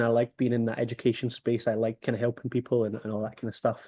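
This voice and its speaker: In a Scottish accent, a man talks at a very fast pace with a medium-pitched voice. The sound is dry and close with no echo, over a quiet background. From Scotland, Motherwell near Glasgow. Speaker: rugby development organiser. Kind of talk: interview over video call.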